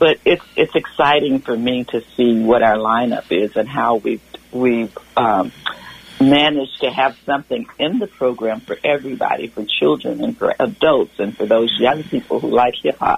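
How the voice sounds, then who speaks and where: The speech comes at a moderate pace against noticeable background noise. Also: woman. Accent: Southern US. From US South. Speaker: community volunteer. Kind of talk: radio interview. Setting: phone call.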